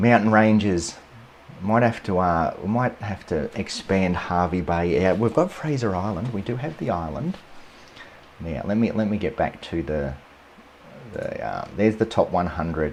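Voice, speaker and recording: With a strong Australian accent, a man talks at a moderate pace in a fairly low voice with lively intonation. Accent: broad Australian. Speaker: landscape photographer, photography YouTuber. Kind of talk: live stream commentary. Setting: live stream. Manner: casual, hesitant with repetitions.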